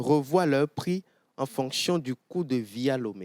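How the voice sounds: Delivery is fairly slow with lively intonation and a slightly mellow tone. The sound is dry and close, with no echo. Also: man, medium pitch for a man.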